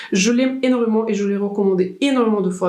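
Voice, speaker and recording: With noticeable background noise and audible room echo, a woman talks at a fairly quick pace in a medium pitch with fairly even intonation. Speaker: beauty vlogger. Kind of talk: makeup tutorial.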